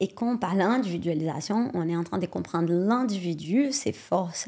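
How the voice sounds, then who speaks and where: A woman with a Brazilian accent speaks at a moderate pace with hardly any pauses. Her tone is dark and mellow, her pitch is medium, and her intonation is lively. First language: Portuguese (speaking French). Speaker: sports science researcher. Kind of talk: podcast interview.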